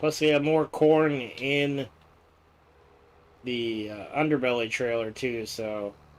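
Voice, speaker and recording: A man talks at a very slow pace, with long, frequent pauses. His loudness swings widely while his pitch varies in an ordinary way. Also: medium pitch for a man. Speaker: gaming streamer. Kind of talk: live gameplay stream.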